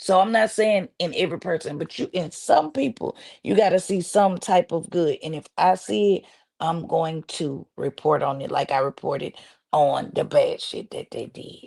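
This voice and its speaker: In a dry, close sound with no echo and a quiet background, a woman of medium pitch speaks at a moderate pace with lively intonation and big swings in loudness. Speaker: social media commentator and blogger. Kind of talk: interview. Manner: animated; halting.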